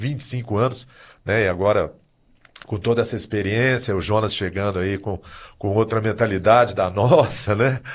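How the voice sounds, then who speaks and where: Against a quiet background, a man uses an ordinary speaking voice at a medium pitch and a moderate pace. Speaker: swim school owner. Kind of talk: podcast discussion.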